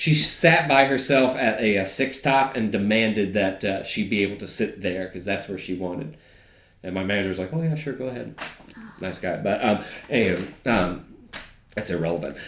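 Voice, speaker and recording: With an American accent, a man speaks in a fairly low pitch with lively intonation, and room echo can be heard. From Georgia, US (family from West Virginia). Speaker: data analyst. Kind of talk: casual conversation, storytelling.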